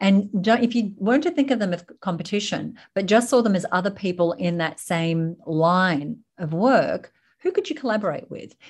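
This woman has an Australian accent, a medium pitch and a somewhat breathy voice. She moves at a moderate pace with lively intonation and hardly any pauses. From Sydney, Australia. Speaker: business founder and speaker. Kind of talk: casual interview chat.

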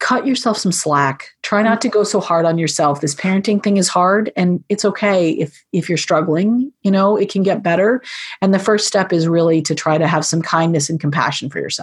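A woman speaks at a moderate pace in a somewhat breathy, medium-pitched voice, with very even loudness and ordinary pitch variation. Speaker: podcast guest, parenting book author.

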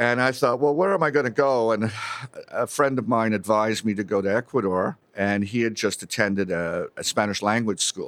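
A man with a normal speaking voice, a moderate pace and ordinary pitch variation, on a very clean recording with a silent background. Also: medium pitch for a man. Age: 50s. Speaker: mining company CEO and geologist. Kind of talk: interview storytelling.

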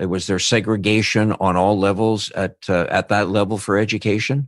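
An ordinary speaking voice from a man, fairly low in pitch with fairly even intonation. He goes at a moderate pace against a quiet background. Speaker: podcast host and interviewer. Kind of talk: interview.

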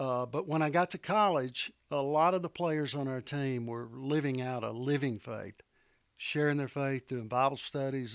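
Medium pitch, ordinary pitch variation and a moderate pace from a man, a plain, everyday voice. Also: very clean recording, silent background. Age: 60s. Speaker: retired company founder and consultant. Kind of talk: interview.

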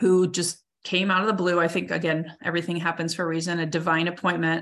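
A woman with an ordinary speaking voice talks at a fairly quick pace. Her fairly low pitch carries fairly even intonation. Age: 40s. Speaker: coach and speaker. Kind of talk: interview.

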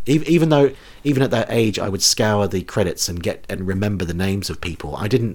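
A man speaks with a New Zealand accent at a fairly low pitch. His intonation is lively. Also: fairly quick pace. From New Zealand, rural town. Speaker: comedy podcast host. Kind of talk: casual chat.

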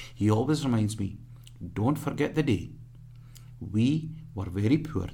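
The man's voice has a dark, mellow tone and is somewhat breathy. His pitch varies in an ordinary way. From rural northern Punjab, Pakistan. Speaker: humanitarian charity worker. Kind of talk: radio interview. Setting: radio studio. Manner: energetic; halting.

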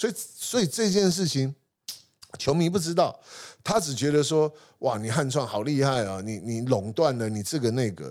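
On a very clean recording with a silent background, a man with a fairly high pitch speaks at a moderate pace with very wide pitch swings. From Taiwan, Hsinchu. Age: 50s. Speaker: sports marketing company founder. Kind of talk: interview conversation.

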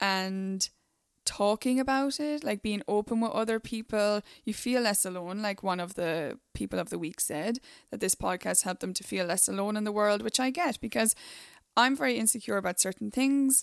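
In a dry, close recording with no echo and a very clean, silent background, a woman with an ordinary speaking voice talks at a moderate pace and medium pitch, with ordinary pitch variation. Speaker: podcast host. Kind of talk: casual chat.

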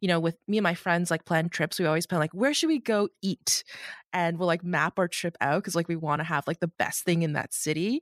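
A woman with a Canadian accent and a plain, everyday voice talks at a fairly quick pace and fairly low pitch, her loudness very even, in a very clean, dry, close recording with a silent background and no echo. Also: ordinary pitch variation. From Canada, Markham, Ontario. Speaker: podcast host. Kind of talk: interview.

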